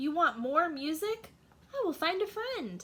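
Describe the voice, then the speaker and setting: Putting on a character voice, a woman projects at an extremely high pitch with very wide pitch swings. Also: moderate pace. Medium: read story. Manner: eager, oblivious.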